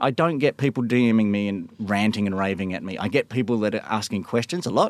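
A man with an Australian accent at a very fast pace, ordinary pitch variation, on a very clean recording with a silent background. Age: 40s. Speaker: stay-at-home dad who live-tweeted government press conferences. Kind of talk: interview.

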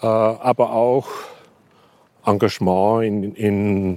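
With fairly even intonation, a man speaks in a fairly low pitch. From rural Austria. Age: 60s. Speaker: media historian and professor. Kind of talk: interview. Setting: outdoors on a rooftop.

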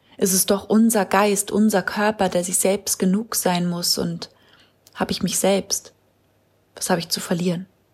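Moderate pace with long, frequent pauses, somewhat breathy delivery and monotone, flat intonation. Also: woman, medium pitch for a woman. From Hamburg. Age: 20s. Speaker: poetry slammer. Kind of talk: poetry slam performance.

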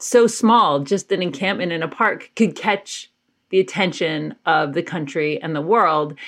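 At a moderate pace, a woman uses a normal speaking voice with lively intonation over a quiet background. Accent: American. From US South, Georgia (Athens). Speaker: activist and writer. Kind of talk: interview conversation.

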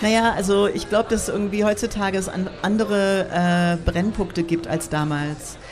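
Against noticeable background noise, a woman speaks at a moderate pace with hardly any pauses, very even loudness and fairly even intonation. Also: medium pitch for a woman. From United States. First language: English (speaking German). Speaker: artist and techno scene co-founder. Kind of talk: casual interview. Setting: outdoor beer garden at a festival with audience.

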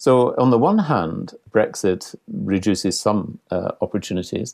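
A man with a dark, mellow tone and a fairly low pitch speaks at a fairly slow pace. The sound is dry and close with no echo, on a very clean recording with a silent background. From Scotland. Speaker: international cultural relations consultant. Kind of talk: interview.

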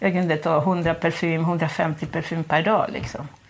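Noticeable background noise surrounds a woman whose voice is fairly low. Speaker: former prisoner. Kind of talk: interview testimony. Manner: halting.

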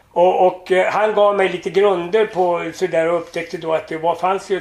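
Noticeable background noise surrounds a man speaking at a moderate pace. His pitch is high and his intonation fairly even. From Sweden. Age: 80s+. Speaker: entertainer. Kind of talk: casual chat. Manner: halting.

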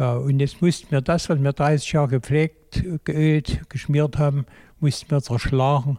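This man's voice is fairly high, somewhat breathy and dark and mellow in tone. He talks fairly slowly with fairly even intonation. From Saxony, Braunsdorf near Chemnitz. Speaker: retired textile technician, volunteer. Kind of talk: interview. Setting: museum beside loom.

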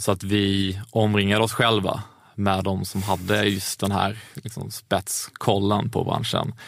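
A man speaks in a fairly low, monotone voice with flat intonation. His pace is fairly slow. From Skåne, southern Sweden. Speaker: entrepreneur. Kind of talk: interview. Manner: halting, many fillers.

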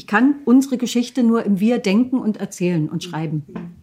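A woman's somewhat breathy voice, fairly high in pitch, with a dark, mellow tone, lively intonation and a moderate pace. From eastern Germany, Lusatia (Hoyerswerda, Saxony). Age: 50s. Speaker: author and documentary filmmaker. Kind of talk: interview.

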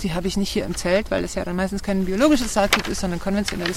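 Noticeable background noise sits behind a woman speaking at a very fast pace. Her pitch is medium, with ordinary variation. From southern Germany and Switzerland. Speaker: tomato grower. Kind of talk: casual interview. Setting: outdoors on a farm.

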